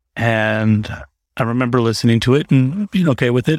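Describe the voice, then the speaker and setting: Captured in a very clean, dry, close recording with a silent background and no echo, a man speaks at a medium pitch and moderate pace with ordinary pitch variation. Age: 40s. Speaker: solo podcaster. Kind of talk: casual chat. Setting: home recording with fan in background. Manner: rambling, off the cuff.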